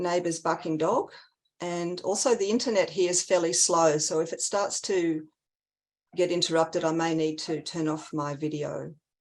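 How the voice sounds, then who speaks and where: With an Australian accent, a woman talks at a moderate pace in a fairly low pitch with fairly even intonation against a quiet background. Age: 60s. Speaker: community advocate. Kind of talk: testimony. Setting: video call.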